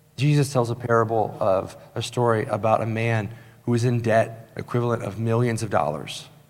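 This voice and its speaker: Medium in pitch, a man's voice holds a fairly even intonation at a moderate pace. Audible room echo can be heard. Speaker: pastor. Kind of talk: sermon. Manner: emphatic, repeats points.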